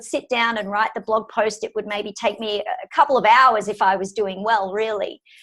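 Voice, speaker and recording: A woman with an Australian accent speaks at a fairly quick pace. Her fairly high voice shows ordinary pitch variation. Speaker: physiotherapist and telehealth instructor. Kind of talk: interview answer.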